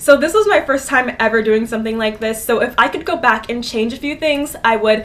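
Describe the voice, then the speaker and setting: A woman's fairly high voice, with ordinary pitch variation, comes through noticeable background noise. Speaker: DIY fashion YouTuber. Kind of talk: tutorial. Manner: fast; animated.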